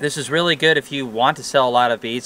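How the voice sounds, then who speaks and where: A man's voice, with ordinary pitch variation, sounds dry with no echo. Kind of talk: tutorial. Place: garden. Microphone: camera far.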